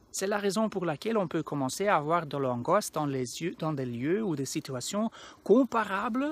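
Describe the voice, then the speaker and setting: On a very clean recording with a silent background, a man with a Flemish accent speaks at a high pitch and moderate pace with very wide pitch swings. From Flanders, Belgium. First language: Dutch (Flemish) (speaking French). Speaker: anxiety coach. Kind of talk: educational talk to camera. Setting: outdoors in a park. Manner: halting, with self-corrections.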